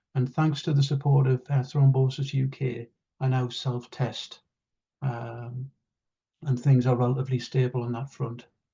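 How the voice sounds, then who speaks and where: A man with a northeast English accent speaks at a moderate pace in a medium pitch, his dark, mellow tone somewhat breathy and his intonation monotone and flat. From northeast England. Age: 60s. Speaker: patient advocate. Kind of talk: testimony.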